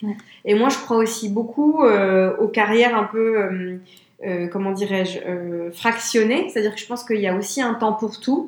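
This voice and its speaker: Amid audible room echo, a woman with a fairly high pitch talks at a moderate pace with ordinary pitch variation. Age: 30s. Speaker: business executive at a trend forecasting firm. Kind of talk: interview.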